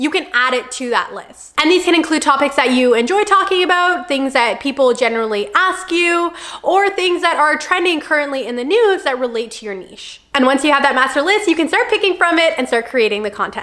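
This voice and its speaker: A woman's high voice at a fairly quick pace, very wide pitch swings, hardly any pauses, and noticeable background noise. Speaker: content creator. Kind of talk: tutorial. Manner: fast.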